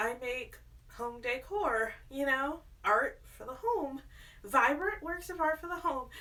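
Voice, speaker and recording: A woman speaks at a high pitch and a fairly slow pace, her raised, projected voice carrying a bright, sharp tone. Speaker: artist and home decor vlogger. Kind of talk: casual vlog. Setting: at home in apartment. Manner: stutters when nervous.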